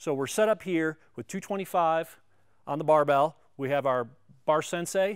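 A man speaks with ordinary pitch variation, and the background is quiet. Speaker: strength coach presenter. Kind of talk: tutorial. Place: gym.

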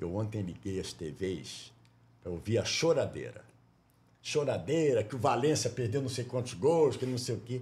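With lively intonation and a medium pitch, a man talks at a moderate pace. His tone is dark and mellow, with vocal fry. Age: 60s. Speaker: sports broadcaster and podcast host. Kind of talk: casual interview. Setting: studio.

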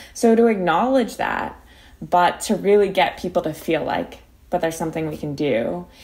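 A woman with an American accent speaks at a fairly low pitch, using lively intonation and vocal fry. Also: moderate pace. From Philadelphia, US. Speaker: climate activist and law student. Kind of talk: interview.

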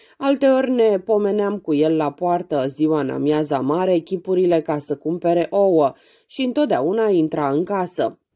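Over a quiet background, a woman with a dark, mellow tone and fairly low pitch speaks fairly slowly with lively intonation. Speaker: audiobook narrator. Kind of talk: reading aloud.

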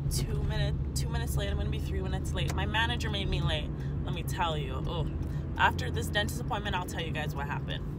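Very fast speech from a woman, dry with no echo, against loud background noise. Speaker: vlogger. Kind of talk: casual talk to camera. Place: car. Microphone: phone near.

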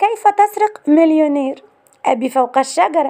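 Talking at a very slow pace, a woman with a Cairo accent uses a high pitch and lively intonation. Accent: Egyptian Arabic (Cairene). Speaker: YouTube channel presenter. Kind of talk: narrated celebrity biography. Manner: list-like reading of film titles.

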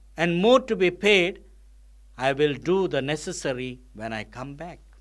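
Slow, lively speech from a man with a fairly high pitch and fairly bright tone.

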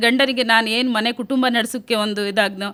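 The recording is very clean against a silent background. A woman speaks at a fairly high pitch in a bright, sharp tone with flat, monotone intonation. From India, Uttara Kannada district (Honnavar). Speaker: self-help group entrepreneur. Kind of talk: radio interview testimony.

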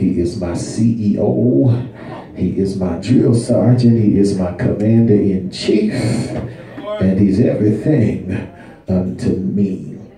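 Through audible room echo and light background noise, a man speaks very slowly at a fairly low pitch with ordinary pitch variation. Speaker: guest preacher. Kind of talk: sermon. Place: church. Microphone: camera far.

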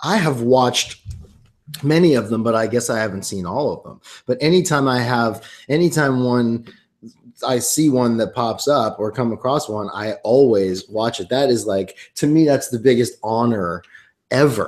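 Over a quiet background, the speaker talks at a moderate pace with ordinary pitch variation. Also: man, medium pitch for a man. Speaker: singer-songwriter and actor. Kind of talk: casual interview chat. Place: home room. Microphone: webcam.

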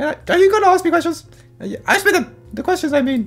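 This is a put-on character voice at an extremely high pitch. It moves along at a fairly quick pace. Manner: defensive, self-centered, denies loudly.

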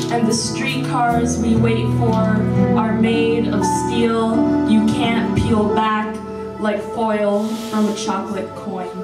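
Over loud background noise, a woman talks at a very slow pace. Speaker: poet. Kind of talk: poetry reading. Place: hall.

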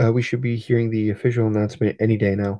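Quiet and at a fairly quick pace, a man talks with a medium pitch. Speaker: toy collector livestreamer. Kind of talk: casual livestream chat. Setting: livestream. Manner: quiet, subdued.

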